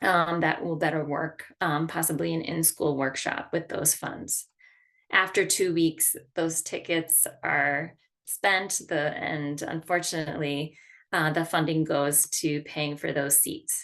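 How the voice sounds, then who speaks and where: In a very deep, low pitch, a woman speaks at a very slow pace with monotone, flat intonation. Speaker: arts education program coordinator. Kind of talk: online staff training meeting.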